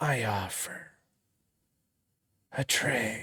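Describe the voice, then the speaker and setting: A put-on character voice growls. It sits low in pitch. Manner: growling.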